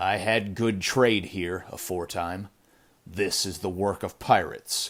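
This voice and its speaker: In a put-on character voice, a man talks gruff and raspy at a fairly low pitch, with fairly even intonation and a fairly slow pace. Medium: read story. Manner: gruff, grunting.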